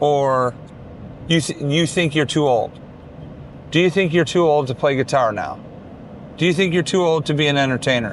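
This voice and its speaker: There are long, frequent pauses as a man speaks at a fairly high pitch. Noticeable background noise runs underneath. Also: ordinary pitch variation, moderate pace. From Detroit, US Midwest. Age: 60s. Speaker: guitar player and performer. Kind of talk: casual vlog talk to camera.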